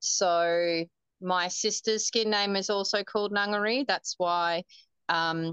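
A woman with an Australian accent speaks at a medium pitch with fairly even intonation. The sound is dry and close with no echo, and the background is quiet. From Northern Territory, Australia (Darwin). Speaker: marathon runner. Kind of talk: interview.

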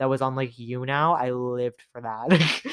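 A man with a Canadian accent speaks in an animated tone at a medium pitch. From Toronto, Canada. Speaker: podcaster. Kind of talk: casual solo podcast monologue. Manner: fast talker; animated, giggly.

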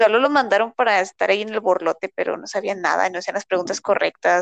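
With a Mexican accent and a fairly high voice, a woman speaks at a fairly quick pace with lively intonation in a dry, close sound with no echo. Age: 20s. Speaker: university student. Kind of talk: casual chat.

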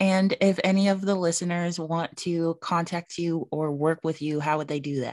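A woman with a plain, everyday voice and a fairly low pitch speaks at a moderate pace with hardly any pauses and fairly even intonation, the sound dry and close with no echo against a quiet background. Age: 20s. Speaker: podcast host. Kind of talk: casual chat.

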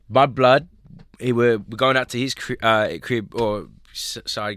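A man with an American accent speaks at a very slow pace. His pitch varies in an ordinary way. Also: very clean recording, silent background. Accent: Australian with slight American twang. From Australia (Sydney, Maroubra). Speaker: hip hop artist. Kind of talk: casual chat. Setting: studio.

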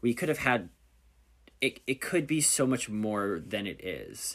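A man with an American accent speaks fairly slowly in an animated tone with lively intonation and vocal fry, in a very clean recording with a silent background. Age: 20s. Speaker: podcast host. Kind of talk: casual chat. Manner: animated, chatty.

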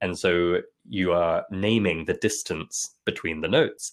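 A man is speaking. He has an English accent. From London. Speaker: music education company founder. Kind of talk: interview conversation. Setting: remote call.

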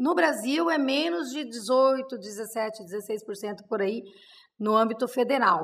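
A woman speaks very slowly with lively intonation. Her pitch sits fairly high. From interior of São Paulo, Brazil. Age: 50s. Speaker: city councilwoman, politician. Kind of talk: interview, casual chat.

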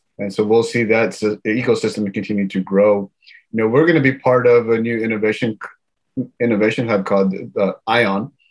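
A man's medium-pitched, normal speaking voice with an American accent, fairly even intonation and a fairly quick pace. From Houston, Texas. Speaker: tech founder and investor. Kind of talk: interview.

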